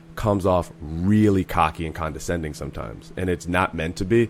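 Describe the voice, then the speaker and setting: This man's voice is very deep and low. He talks at a fairly quick pace. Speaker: comedian. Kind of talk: casual chat. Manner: talks in long stream-of-thought.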